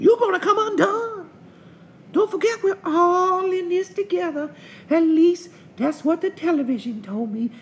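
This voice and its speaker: A female-sounding voice uses a put-on character voice at an extremely high pitch. The pace is moderate. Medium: comedy sketch. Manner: drawling, folksy.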